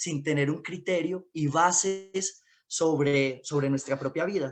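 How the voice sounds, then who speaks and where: Speaking at a very slow pace, a man with a high pitch shows ordinary pitch variation. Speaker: independent communicator. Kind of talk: panel discussion talk.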